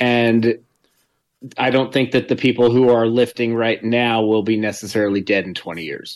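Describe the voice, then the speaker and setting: A man speaks in a normal speaking voice at a moderate pace. His pitch is medium and his intonation fairly even. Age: 40s. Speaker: general contractor and weightlifter, co-host. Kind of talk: casual chat.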